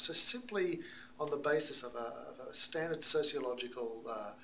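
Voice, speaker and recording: With an Australian accent, a man talks at a moderate pace and a fairly high pitch. Audible room echo is present. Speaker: missiologist and speaker. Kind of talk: talk to American church audience.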